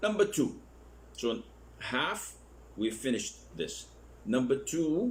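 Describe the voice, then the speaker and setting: A man's voice at a very slow pace, with long, frequent pauses and audible room echo. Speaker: Islamic scholar teaching a course. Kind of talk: lecture. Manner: slow, deliberate.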